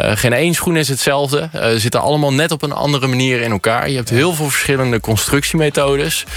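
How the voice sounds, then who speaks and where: Over noticeable background noise, a man talks at a very fast pace with very even loudness. His pitch is fairly high and varies in an ordinary way. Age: 20s. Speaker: shoemaker. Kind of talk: radio interview. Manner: hesitant, many fillers.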